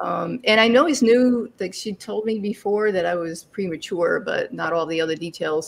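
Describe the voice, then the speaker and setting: Speaking at a moderate pace, a woman uses lively intonation. Her pitch is medium. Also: hardly any pauses. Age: 60s. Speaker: interview guest, life coach and adoption alum. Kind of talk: interview. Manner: halting, with many fillers.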